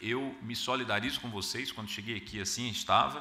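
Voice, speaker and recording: A speaker with a Paraíba accent is heard with audible room echo. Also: man. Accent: northeastern Brazilian (Paraíba). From Brazil, Paraíba (João Pessoa). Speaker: arbitration lawyer and panelist. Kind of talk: conference talk. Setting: conference hall with audience. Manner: hesitant, frequent filler 'ah'.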